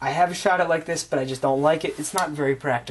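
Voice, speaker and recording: Noticeable background noise sits beneath a man who talks very fast. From United States, Polish immigrant family. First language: Polish. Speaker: gun reviewer. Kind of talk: casual product show-and-tell. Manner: casual, with many fillers.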